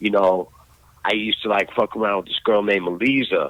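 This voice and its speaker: A man with a New York accent. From New York, Brooklyn. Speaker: graffiti artist. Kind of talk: casual chat.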